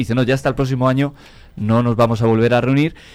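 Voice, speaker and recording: Speaking very rapidly, a man delivers his words with a Spanish accent. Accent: Spanish (Spain). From Spain, near Toledo (La Mancha). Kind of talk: interview.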